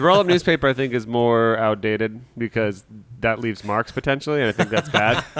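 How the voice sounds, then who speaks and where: Here a man with an unremarkable speaking voice talks at a fairly quick pace, medium in pitch, with ordinary pitch variation. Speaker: podcast co-host. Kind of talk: casual comedic podcast banter.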